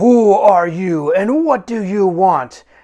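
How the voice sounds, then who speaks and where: This is a put-on character voice, bellowing at a middle pitch. The pace is very slow. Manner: bellowing, demanding.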